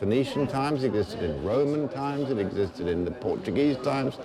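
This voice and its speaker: A man talks at a fairly quick pace with lively intonation and a medium pitch. Noticeable background noise and audible room echo fill the recording. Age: 60s. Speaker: journalist. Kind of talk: casual chat.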